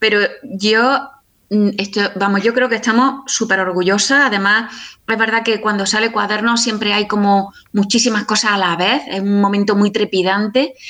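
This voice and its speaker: A woman's fairly high-pitched voice at a moderate pace, with fairly even intonation and very even loudness. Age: 50s. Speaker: publisher. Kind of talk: interview. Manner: halting.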